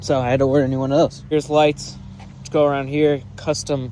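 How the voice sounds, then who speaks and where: A man speaks over noticeable background noise. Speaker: YouTuber showing home Christmas light display. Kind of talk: casual walkthrough tour.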